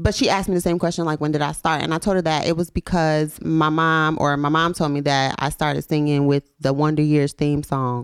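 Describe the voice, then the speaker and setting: In an American accent, a woman speaks at a fairly quick pace with a very deep, low pitch, fairly even intonation, very even loudness and hardly any pauses, on a very clean recording with a silent background. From Memphis, US South. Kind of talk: casual chat. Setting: studio.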